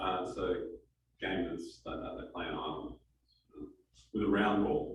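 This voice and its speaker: The man's speech carries an Australian accent and moves at a moderate speed. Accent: Australian, kept. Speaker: startup advisor and guest speaker. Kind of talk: talk to a live audience. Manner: hesitant, many fillers.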